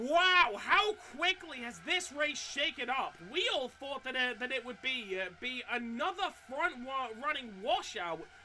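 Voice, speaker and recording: The talking moves at a fairly slow pace amid noticeable background noise. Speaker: sim racing commentator. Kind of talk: live commentary. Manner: halting, frequent stutters and restarts.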